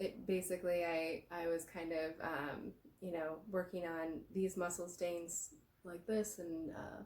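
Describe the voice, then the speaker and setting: A woman's fairly low voice at a fairly slow pace, with fairly even intonation. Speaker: massage therapist. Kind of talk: guided movement tutorial. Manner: halting, many fillers; slow, reflective.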